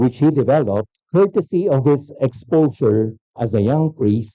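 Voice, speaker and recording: This man talks at a fairly slow pace with a Filipino accent. His medium-pitched voice swings very widely in pitch. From Philippines. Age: 60s. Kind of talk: keynote lecture.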